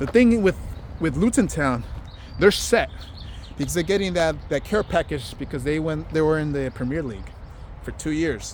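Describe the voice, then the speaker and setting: A man with a Spanish accent uses lively intonation and a fairly high pitch, leaving long, frequent pauses. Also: moderate pace. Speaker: vlogger. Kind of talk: casual vlog monologue. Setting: outdoors, walking. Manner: casual, many fillers and restarts.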